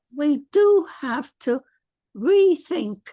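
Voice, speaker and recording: Her English accent comes with a dark, mellow tone as this woman's pitch swings very widely. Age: 90s. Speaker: author. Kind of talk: interview.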